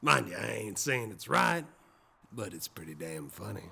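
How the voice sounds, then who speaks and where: In a put-on character voice, a man growls out very deep, low, raspy and gruff lines at a moderate pace, with very wide pitch swings and big jumps in loudness. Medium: audio drama. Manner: gruff, blunt, dry.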